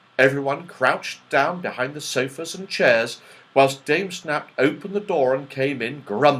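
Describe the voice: The clip is plain reading aloud. Someone reads the text out.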